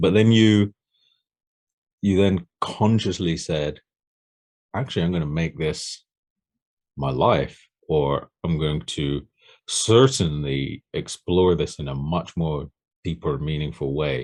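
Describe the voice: With an extremely low pitch and a slightly mellow tone, a man speaks at a slow pace. His pitch variation is ordinary, and he leaves long, frequent pauses.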